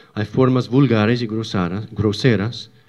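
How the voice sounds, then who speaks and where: A man speaks very slowly with an English accent. His pitch is medium and his intonation fairly even. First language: English (speaking Spanish). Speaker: church teacher. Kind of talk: religious lecture. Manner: halting.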